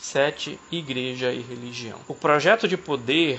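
Here a man with an unremarkable speaking voice and medium pitch speaks with lively intonation. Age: 30s. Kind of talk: casual discussion.

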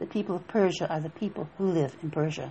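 The voice is somewhat breathy, with fairly even intonation and a fairly quick pace. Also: woman. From Appalachia. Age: 70s. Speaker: minister. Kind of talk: spiritual teaching talk. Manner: halting.

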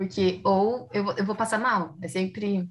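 Somewhat breathy, a woman speaks at a medium pitch and a fairly slow pace. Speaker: podcast host. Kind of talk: casual chat.

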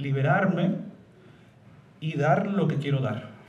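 Fairly high-pitched man's voice with audible room echo and noticeable background noise. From Madrid, Spain, with Puerto Rican mother. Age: 40s. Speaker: opera tenor. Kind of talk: interview before live audience. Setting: stage with audience.

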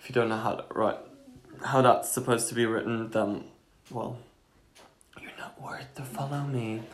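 A man's voice comes through with audible room echo. Noticeable background noise sits underneath it. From Belgium. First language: Dutch. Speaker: podcast co-host. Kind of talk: casual chat. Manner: animated.

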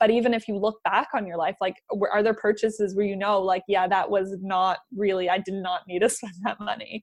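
A woman speaks in a normal speaking voice with fairly even intonation. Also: medium pitch for a woman, fairly quick pace. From Canada, German parents, moved around; New Zealand for 15 years. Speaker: business coach. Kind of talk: casual chat.

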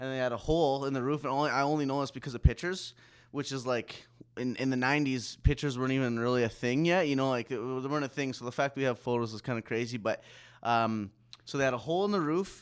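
At a very fast pace, a man talks with a Canadian accent. His pitch shows ordinary variation. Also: medium pitch for a man, very clean recording, silent background. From Saskatchewan, Canada. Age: 30s. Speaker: rapper and audio engineer. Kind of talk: casual chat.

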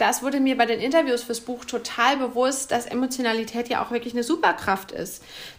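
Her voice sits high in pitch. The woman talks at a fairly quick clip. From Bavaria, Bamberg (Upper Franconia). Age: 30s. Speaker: media manager and author. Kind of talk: podcast interview.

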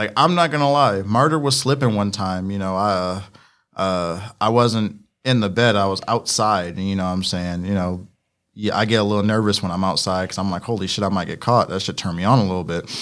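Over a silent background in a very clean recording, a man with a fairly low pitch talks fairly quickly with ordinary pitch variation in a normal speaking voice. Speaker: podcast host. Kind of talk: casual banter. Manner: casual, profane, joking.

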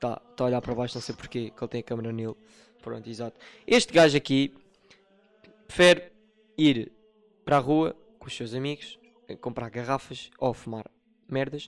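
In a Lisbon accent, a man talks at a fairly quick pace with ordinary pitch variation, big swings in loudness and long, frequent pauses. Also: medium pitch for a man. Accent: European Portuguese, Lisbon. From Portugal, Lisbon. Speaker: podcast host and moderator. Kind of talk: casual chat.

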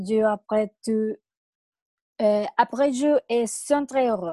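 A woman with fairly high pitch and a dark, mellow tone speaks at a very slow pace. The sound is dry and close with no echo, and her intonation is fairly even. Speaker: medical student. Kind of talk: panel discussion.

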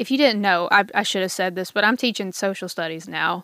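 The sound is dry and close, with no echo. The voice belongs to a woman. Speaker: teacher and podcast host. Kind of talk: solo podcast monologue. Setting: home recording with video. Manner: fast.

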